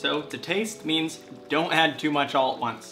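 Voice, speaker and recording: A man's voice with ordinary pitch variation, audible room echo and music in the background. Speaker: cooking channel host. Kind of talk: cooking tutorial. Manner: casual.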